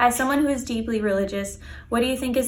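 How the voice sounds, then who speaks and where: Someone with an American accent speaks amid audible room echo. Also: woman. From Los Angeles, California. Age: 20s. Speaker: viewer asking a question. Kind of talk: recorded video question.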